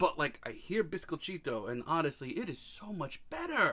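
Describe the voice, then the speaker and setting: With an American accent, a man talks at a moderate pace in a high voice that makes very wide pitch swings. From US Northeast, Long Island, New York. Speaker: music reviewer. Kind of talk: album review monologue. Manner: animated.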